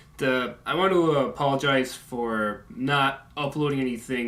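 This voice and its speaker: A man is mumbling. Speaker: video game commentator. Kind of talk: casual talk to camera. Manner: mumbling and stuttering.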